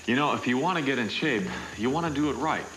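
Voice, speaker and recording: Music plays in the background. A man is speaking. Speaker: actor. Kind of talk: TV infomercial read.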